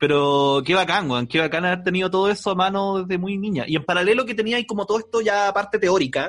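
In a Chilean accent, a man talks very fast with hardly any pauses, his high pitch varying in an ordinary way. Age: 30s. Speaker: podcast host. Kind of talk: casual chat.

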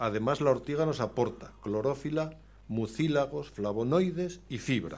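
This man has an unremarkable speaking voice at medium pitch. His intonation is lively. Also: fairly slow pace. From Spain, Aragón (Zaragoza province). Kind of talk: radio interview.

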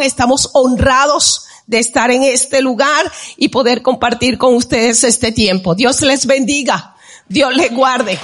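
Over noticeable background noise, a woman speaks at a high pitch and a fairly slow pace. Her intonation stays fairly even. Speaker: worship leader. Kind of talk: exhortation in church service. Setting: church with congregation.

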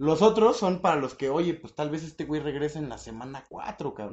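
A man is talking. He keeps up a fairly quick pace. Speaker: podcast host. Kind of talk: casual chat. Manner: animated.

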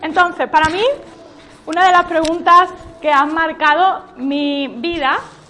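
A woman's raised, projected voice with ordinary pitch variation against noticeable background noise. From Spain, Málaga. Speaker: church workshop leader. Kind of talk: workshop teaching. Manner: animated.

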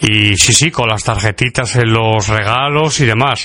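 A man with a Castilian accent speaks at a medium pitch and a fairly slow pace. His pitch varies in an ordinary way. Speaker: radio host. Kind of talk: podcast monologue.

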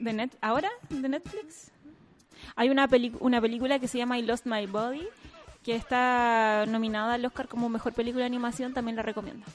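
A woman speaks at a fairly quick pace in a high pitch. Her intonation stays fairly even. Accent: Chilean. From central Chile, Curicó area. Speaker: podcast co-host. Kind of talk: casual chat.

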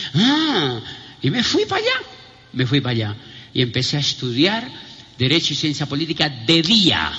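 Amid noticeable background noise and audible room echo, a man with a fairly high pitch talks in an animated tone with very wide pitch swings and long, frequent pauses. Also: moderate pace. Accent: Colombian. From Colombia, southern Huila. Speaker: motivational speaker. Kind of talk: convention keynote speech. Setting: stage with audience.

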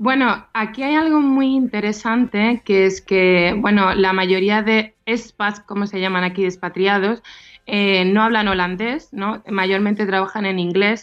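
Woman, medium pitch, fairly slow pace, ordinary pitch variation: a normal speaking voice. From Andalusia, Seville province. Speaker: advertising professional living abroad. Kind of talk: radio interview.

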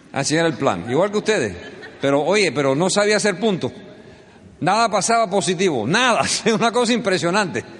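Over noticeable background noise, a man with a high pitch speaks at a fairly quick pace in an animated tone, with lively intonation and very even loudness. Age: 50s. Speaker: business speaker. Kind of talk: motivational speech.

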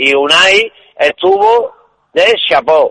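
The man's voice is raised and projected, with lively intonation. The sound is dry and close, with no echo. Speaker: caller, football fan. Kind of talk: casual call-in chat. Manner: halting.

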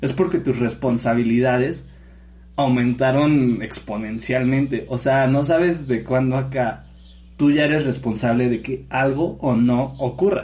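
The voice is dark, mellow and somewhat breathy, moving at a fairly slow pace with fairly even intonation. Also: man, medium pitch for a man. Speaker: podcast co-host. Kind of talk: casual chat.

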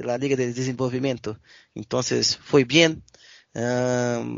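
The man talks at a fairly slow pace and a medium pitch. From Brazil, Belo Horizonte (Minas Gerais). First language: Portuguese (speaking Spanish). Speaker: sports journalist. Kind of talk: casual sports interview. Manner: halting, many fillers.

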